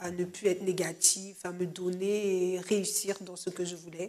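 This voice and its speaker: Monotone, flat delivery from a woman at medium pitch, fairly slow in pace. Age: 20s. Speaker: church member giving testimony. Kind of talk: testimony. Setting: studio. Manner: hesitant, many fillers.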